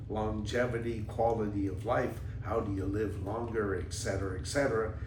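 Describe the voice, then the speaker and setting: With audible room echo, a man speaks at a fairly low pitch and moderate pace, his intonation fairly even and hardly any pauses. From Canada. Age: 80s+. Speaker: podcast host, former businessman. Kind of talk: casual monologue, personal storytelling. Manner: halting, many fillers.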